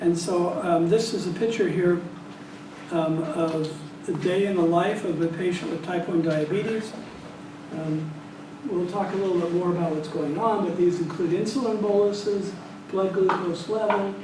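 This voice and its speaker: A man with a high pitch at a moderate pace and fairly even intonation, with noticeable background noise and audible room echo. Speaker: statistics professor giving a plenary talk. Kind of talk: lecture. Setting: small room with audience. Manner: hesitant, many fillers.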